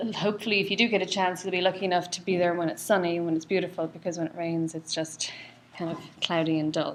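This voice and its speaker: A woman with an Irish accent, fairly low in pitch, speaking at a fairly quick pace in a monotone, flat intonation. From Ireland, County Louth. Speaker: cardiologist. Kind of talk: lecture.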